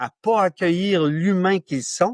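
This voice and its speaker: A man with a Quebec accent at a very slow pace, the sound dry and close with no echo over a quiet background. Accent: Québécois French. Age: 60s. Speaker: author and men's issues pioneer. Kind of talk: podcast interview.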